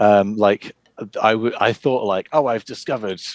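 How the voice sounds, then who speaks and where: The man speaks with an English accent in a dry, close sound with no echo. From England. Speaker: board game publisher and designer. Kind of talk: casual interview.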